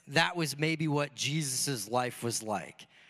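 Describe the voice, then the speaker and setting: With a Michigan accent, a man talks at a fairly slow pace in a bright, sharp tone. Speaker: pastor. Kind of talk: sermon. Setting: church.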